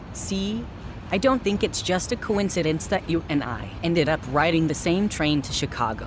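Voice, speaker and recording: Noticeable background noise sits behind the recording. A woman with a fairly low pitch speaks at a moderate pace with lively intonation. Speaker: audio drama actor playing inventor-actress character. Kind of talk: scripted audio drama dialogue.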